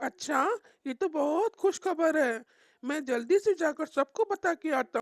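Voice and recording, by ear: This cartoonish character voice has a high pitch and a moderate pace.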